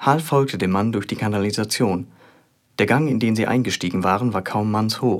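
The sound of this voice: Ordinary pitch variation within an unforced reading voice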